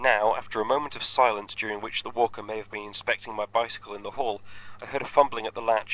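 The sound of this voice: The pitch shifts in ordinary ways across an unforced reading voice.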